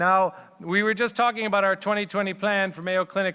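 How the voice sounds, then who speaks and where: A man talks at a fairly quick pace in a bright, sharp tone. The recording is very clean, with a silent background. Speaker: radiologist. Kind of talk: conference talk. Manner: loud; fast.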